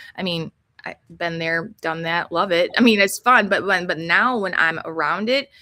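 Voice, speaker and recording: Captured in a very clean recording with a silent background, a woman speaks in a bright, sharp tone. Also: medium pitch for a woman, ordinary pitch variation, moderate pace. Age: 50s. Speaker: health coach. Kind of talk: casual interview chat. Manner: rambling, halting.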